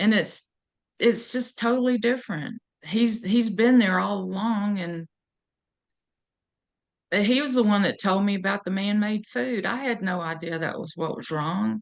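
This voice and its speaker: Lively in intonation, a woman at medium pitch speaks at a fairly slow pace with long, frequent pauses. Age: 60s. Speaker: podcast guest, former diabetic. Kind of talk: interview answer.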